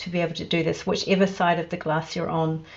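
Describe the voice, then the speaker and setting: A woman speaks with a New Zealand accent. Her pitch is medium and her intonation fairly even. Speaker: company staff on online event panel. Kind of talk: casual panel chat.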